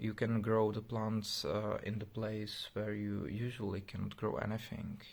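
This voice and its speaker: Fairly slow and almost without pauses, a man talks in a fairly low pitch with monotone, flat intonation. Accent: non-native. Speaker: tech project developer. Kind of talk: casual video explanation. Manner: halting, many fillers.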